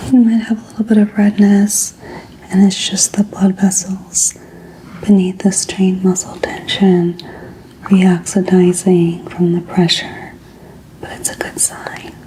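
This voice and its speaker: A soft-spoken woman, gentle tone, medium pitch, monotone and flat, fairly slow pace, noticeable background noise. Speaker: ASMR artist doing a doctor roleplay. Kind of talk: ASMR medical roleplay for sleep. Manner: soft-spoken, gentle, calming.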